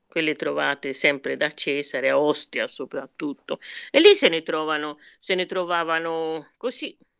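The woman's fairly slow speech has a dry, close sound with no echo. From Tuscany, southern Italian parents. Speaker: retired teacher and writer. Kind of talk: casual chat. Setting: video call.

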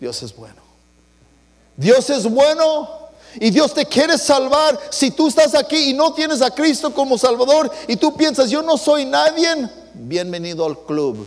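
With an American accent and a warm tone, a man speaks at an extremely high pitch, his volume swinging a lot over noticeable background noise. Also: ordinary pitch variation, moderate pace. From US West, East Los Angeles. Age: 60s. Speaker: pastor. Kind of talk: bilingual Sunday sermon, personal testimony switching English and Spanish line by line. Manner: warm, conversational code-switching with chuckles; fervent, rising preacher cadence with stuttered repeats.

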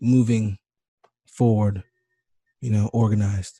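In an American accent, a man speaks with a medium pitch and a dark, mellow, somewhat breathy tone, his intonation monotone and flat, the sound dry and close with no echo against a quiet background. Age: 20s. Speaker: podcast host. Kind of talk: radio interview. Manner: casual, filler-heavy.

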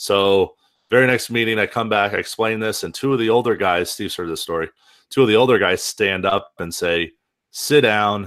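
A man has a plain, everyday voice, fairly low in pitch with ordinary pitch variation. He keeps a moderate pace on a very clean recording with a silent background. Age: young. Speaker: pool service podcast co-host, association chapter leader. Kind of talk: casual chat.

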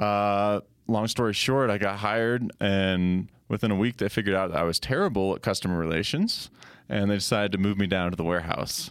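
A man with an American accent talks at a fairly quick pace in a fairly low, plain, everyday voice, with fairly even intonation and very even loudness. The recording is very clean, with a silent background. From Colorado. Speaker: ministry creative director. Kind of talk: casual chat.

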